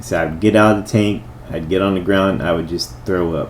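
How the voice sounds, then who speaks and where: Against noticeable background noise, a man talks with lively intonation at a fairly low pitch. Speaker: life coach and army veteran. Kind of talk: talking-head video monologue. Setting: in front of a camera.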